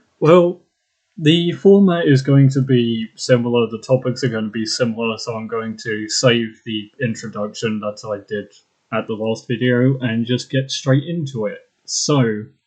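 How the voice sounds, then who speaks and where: Here a man speaks with an ordinary speaking voice. His medium pitch shows ordinary pitch variation. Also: fairly slow pace. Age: 20s. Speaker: podcast host. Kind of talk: casual chat.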